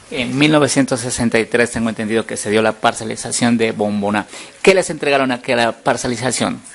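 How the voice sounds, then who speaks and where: A man with ordinary pitch variation speaks at a fairly quick pace while noticeable background noise carries on. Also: medium pitch for a man. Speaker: journalist. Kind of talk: local TV interview, presenter speaking.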